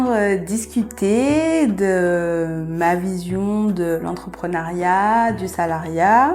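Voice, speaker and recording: A woman at a medium pitch speaking very slowly, with ordinary pitch variation, audible room echo and music in the background. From Guadeloupe. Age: 30s. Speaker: midwife. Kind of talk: podcast interview. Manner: hesitant, many fillers.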